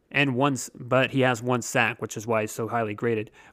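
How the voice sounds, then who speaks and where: A man with an unremarkable speaking voice talks at a medium pitch. The recording is very clean, with a silent background. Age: 30s. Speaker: sports podcast host. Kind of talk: solo podcast analysis. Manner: casual with frequent fillers.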